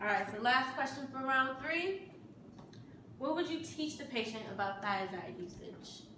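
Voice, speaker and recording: A woman's high-pitched, raised, projected voice at a fairly slow pace, with very wide pitch swings over noticeable background noise. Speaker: game show host. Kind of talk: game show host banter.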